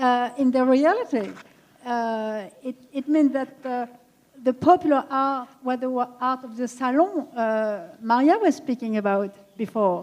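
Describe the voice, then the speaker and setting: At a fairly slow pace, a woman speaks in a high pitch with ordinary pitch variation. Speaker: art historian speaker. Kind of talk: panel discussion Q&A. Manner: halting.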